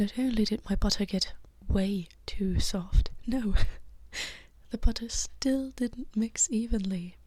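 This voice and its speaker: A woman's somewhat breathy voice at a very slow pace, with ordinary pitch variation, on a very clean recording against a silent background. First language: not English. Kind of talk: casual vlog talk to camera. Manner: soft-spoken.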